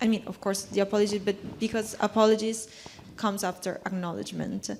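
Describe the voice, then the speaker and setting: Speaking at a moderate pace, a woman with a non-native accent uses a medium pitch. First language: not English. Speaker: panel contributor. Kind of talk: panel discussion. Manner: halting, with false starts.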